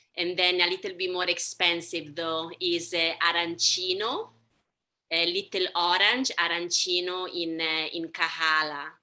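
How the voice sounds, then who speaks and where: Speaking at a fairly slow pace, a woman with an Italian accent uses a fairly low, bright, sharp voice with monotone, flat intonation. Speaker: language teacher. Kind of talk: q&a in online class.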